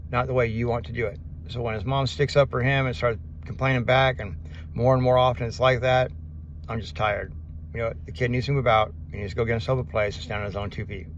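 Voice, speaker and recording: Talking at a very fast pace, a man with a medium-pitched voice is heard over noticeable background noise, with audible echo in the room. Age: 50s. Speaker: vlogger. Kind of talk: casual vlog monologue. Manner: fast, words blending together.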